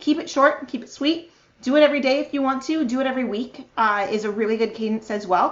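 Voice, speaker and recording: Her enthusiastic tone comes through as a woman talks at a very fast pace, her high pitch showing ordinary variation. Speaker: marketing strategist and conference speaker. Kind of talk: virtual conference talk.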